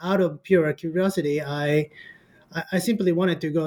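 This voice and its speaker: At a moderate pace, a man speaks at a fairly high pitch with ordinary pitch variation. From Japan, Kyoto. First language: Japanese. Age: 40s. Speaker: history professor and author. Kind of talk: interview.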